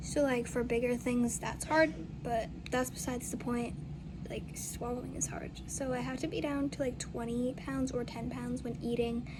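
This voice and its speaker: Audible room echo and noticeable background noise are present. Through them, a woman talks at a moderate pace. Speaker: vlogger in halo traction. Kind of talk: casual vlog. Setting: outdoors.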